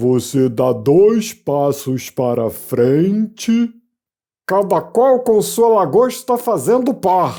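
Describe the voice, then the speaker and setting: In a put-on character voice, a man speaks at a very slow pace, high in pitch and swinging very widely up and down. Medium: read story. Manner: brisk, exclamatory.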